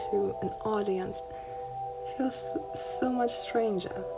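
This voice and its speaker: Music plays behind a woman as she talks. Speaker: art hobbyist youtuber. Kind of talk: tutorial. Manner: halting.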